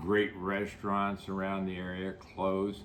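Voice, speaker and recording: Fairly slow speech with an American accent is heard with audible room echo. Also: man. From United States. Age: 80s+. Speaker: real estate developer. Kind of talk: interview. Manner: halting, many fillers.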